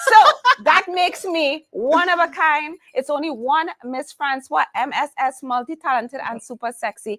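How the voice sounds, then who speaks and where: With a Trinidadian accent, a woman speaks in a high voice at a moderate pace, her tone animated and her intonation lively, with hardly any pauses. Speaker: humorous keynote speaker and coach. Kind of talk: interview conversation.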